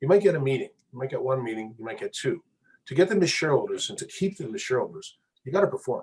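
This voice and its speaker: The speech runs at a very fast pace with big swings in loudness. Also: man. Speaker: mining company executive. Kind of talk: interview.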